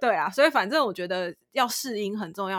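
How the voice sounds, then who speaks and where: The pace is fairly quick, with lively intonation. The recording is very clean and dry, close and echo-free against a silent background. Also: woman. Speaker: podcast co-host. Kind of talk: casual chat. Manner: words run together.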